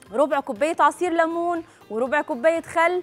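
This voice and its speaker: Over faint background music, a woman talks at a moderate pace in a high pitch. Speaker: cooking show host. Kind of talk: tutorial. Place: studio. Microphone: lapel.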